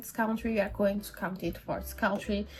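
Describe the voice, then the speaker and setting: The delivery moves at a very fast pace. The voice is somewhat breathy. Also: woman. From Brazil. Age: 20s. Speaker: book YouTuber. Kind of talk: casual vlog talk to camera.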